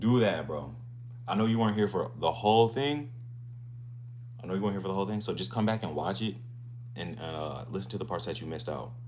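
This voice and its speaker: Audible room echo surrounds a man speaking at a very fast pace with long, frequent pauses, a fairly low pitch, ordinary pitch variation and an animated tone. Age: 20s. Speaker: fitness streamer. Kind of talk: casual live stream chat.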